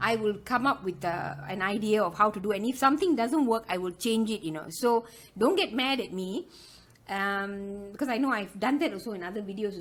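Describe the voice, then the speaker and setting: With a strong Malaysian accent, the speaker talks at a fairly quick pace with ordinary pitch variation. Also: woman. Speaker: loom knitting tutor. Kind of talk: tutorial. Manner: chatty, many fillers.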